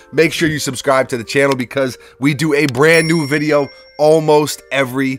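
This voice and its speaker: A man's fairly high-pitched voice at a moderate pace, dry with no echo, over faint music in the background. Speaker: sneaker YouTuber. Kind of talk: casual video review. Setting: home workshop studio. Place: home room.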